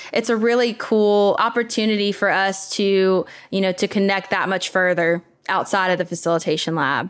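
Against a quiet background, a woman speaks at a medium pitch and moderate pace. She has an ordinary speaking voice, and her loudness stays very even. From US South, southern Louisiana. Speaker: facilitation community manager. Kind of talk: interview conversation.

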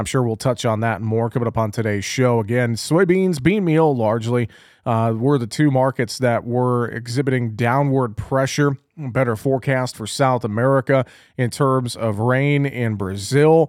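On a very clean recording with a silent background, a man uses a normal speaking voice at medium pitch, speaking at a moderate pace with ordinary pitch variation. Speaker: agricultural radio host. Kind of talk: radio market report and interview. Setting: radio studio.

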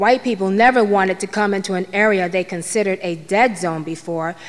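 With an American accent, a woman talks in a normal speaking voice at medium pitch with ordinary pitch variation. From Harlem, New York City. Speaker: storyteller. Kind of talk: storytelling monologue. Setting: stage with audience.

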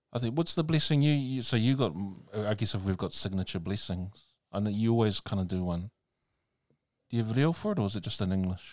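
A man with a New Zealand accent talks at a fairly quick pace, his pitch fairly low and his intonation lively. The recording is very clean, with a silent background. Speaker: podcast host, minister. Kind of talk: casual chat. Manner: hesitant, many fillers.

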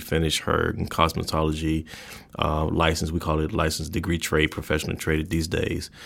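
A man with an American accent talks in a very deep, low pitch with monotone, flat intonation. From Chicago, Illinois (US Midwest). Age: 40s. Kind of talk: casual faith discussion.

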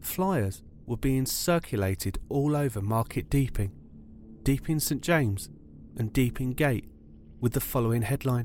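A man's medium-pitched voice with a British accent, a serious tone, lively intonation, a moderate pace, and long, frequent pauses. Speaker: true crime podcaster. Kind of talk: true-crime narration, scripted and solemn. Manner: measured, serious, storytelling pace.

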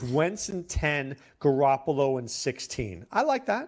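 A man's plain, everyday voice, fairly high in pitch, with lively intonation. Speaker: fantasy football analyst, co-host. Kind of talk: casual sports talk.

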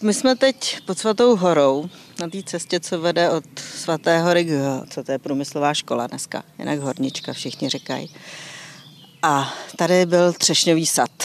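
A woman at a fairly low pitch, with lively intonation and a moderate pace, over noticeable background noise. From Czech Republic, Příbram. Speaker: gallery owner. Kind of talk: casual chat. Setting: outdoors.

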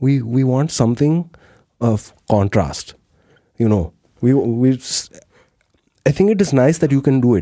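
A man's dark, mellow tone with lively intonation and long, frequent pauses. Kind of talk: casual chat. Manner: composed, animated storyteller.

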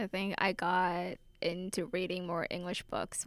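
A woman's medium-pitched voice with vocal fry at a fairly slow pace, on a very clean recording with a silent background. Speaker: college student. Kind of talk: casual chat.

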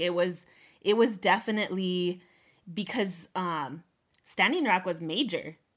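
Recorded very cleanly against a silent background, a woman speaks at a medium pitch. Her pace is moderate and her pitch variation ordinary. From US, Montana (Northern Cheyenne Reservation). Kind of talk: interview. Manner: halting, many fillers and repetitions.

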